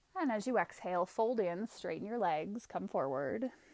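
A woman with a plain, everyday voice speaks in a medium pitch at a fairly slow pace. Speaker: yoga instructor. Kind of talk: guided yoga class, calling each breath and pose in a steady vinyasa flow. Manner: rhythmic, cueing breath by breath: 'Inhale... Exhale...' in short clipped commands; calm, gentle and soothing, softly inviting rather than ordering.

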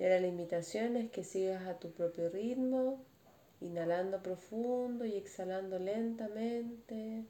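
The voice moves at a fairly slow pace with ordinary pitch variation. Noticeable background noise can be heard. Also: woman, medium pitch for a woman. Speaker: meditation teacher. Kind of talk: guided meditation. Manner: speaking louder, voice directed away.

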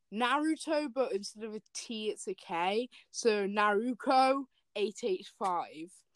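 An unforced reading voice full of lively intonation, with little noise behind it

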